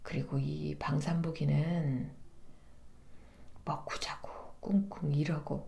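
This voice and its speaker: A woman speaks at a very slow pace, with long, frequent pauses. Noticeable background noise runs underneath. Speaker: voice actor. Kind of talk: literary narration reading of a novel. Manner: soft, warm, soothing.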